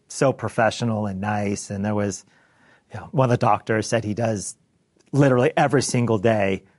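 At a fairly quick pace, a man with an American accent talks in an unremarkable speaking voice with ordinary pitch variation against a quiet background. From US Pacific Northwest, Bellevue, Washington. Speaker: accountant. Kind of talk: interview. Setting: office in front of a live team.

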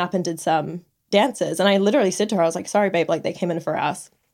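A woman talks in an unremarkable speaking voice at medium pitch. Her pitch varies in an ordinary way on a very clean recording with a silent background. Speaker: podcast co-host and exotic dancer. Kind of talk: casual chat. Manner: giggly.

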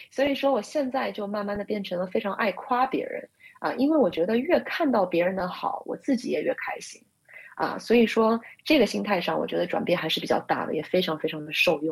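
A woman speaks at a medium pitch, her voice somewhat breathy. Her pitch swings very widely. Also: fairly quick pace. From Shanghai, China. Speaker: consultant and social media writer. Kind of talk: interview. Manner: hesitant, many fillers.

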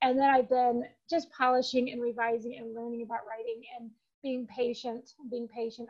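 A woman speaks with an American accent in a high voice. Her intonation stays fairly even. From Michigan, US. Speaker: novelist. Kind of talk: interview.

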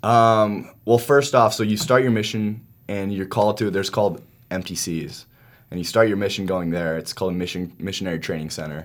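A man with a plain, everyday voice and an American accent speaks at a fairly quick pace, a fairly low pitch and ordinary pitch variation, on a very clean recording with a silent background. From Utah. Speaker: university student and athlete. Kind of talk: casual chat.

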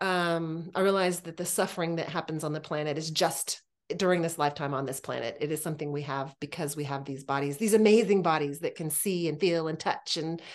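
A woman's plain, everyday voice, fairly low in pitch, at a fairly quick pace with ordinary pitch variation against a quiet background. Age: 50s. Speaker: podcast host. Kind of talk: casual interview chat.

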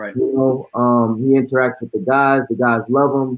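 An unremarkable speaking voice from a man with an American accent, medium in pitch, at a moderate pace. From New York City. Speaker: basketball coach. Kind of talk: casual chat.

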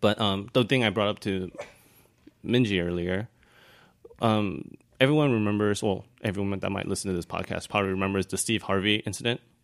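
In an American accent, a man talks at a fairly quick pace with fairly even intonation. Long, frequent pauses break up his speech. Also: fairly low pitch for a man. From Taiwan, raised in the US from age eight. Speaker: dancer and photographer. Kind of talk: casual chat.

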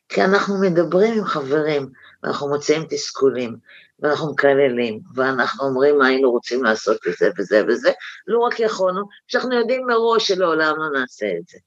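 A woman speaks at a moderate pace in a very deep, low pitch against a quiet background. Her pitch swings very widely and her loudness rises and falls by a lot. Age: 60s. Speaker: right-wing activist. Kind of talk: interview. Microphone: unstable line.

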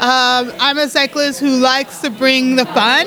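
Over noticeable background noise, a woman with an American accent uses a raised, projected voice at a high pitch. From Colorado, US. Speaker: ultra-distance cyclist. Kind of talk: interview.

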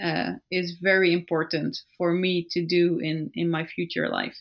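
A woman speaks with a Dutch accent. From Netherlands. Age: 20s. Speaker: cycle traveller. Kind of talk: casual interview.

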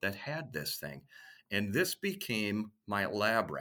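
With an American accent, a man talks in a bright, sharp tone and lively intonation, recorded very cleanly against a silent background. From US Midwest, Minneapolis suburbs. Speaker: radio sales executive. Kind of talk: interview.

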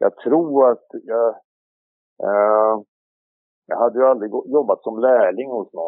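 A man's medium-pitched voice at a very slow pace, broken by long, frequent pauses. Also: ordinary pitch variation. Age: 60s. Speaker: harness racing trainer. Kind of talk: interview.

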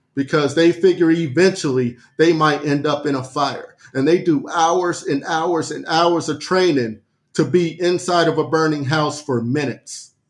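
At a moderate pace, a man talks with an unremarkable speaking voice pitched fairly high. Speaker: podcast co-host.

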